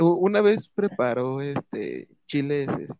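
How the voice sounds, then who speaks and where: A man's fairly high-pitched voice with a Mexican accent, lively intonation and a very slow pace, in a dry, close sound with no echo. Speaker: podcast co-host. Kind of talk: casual chat.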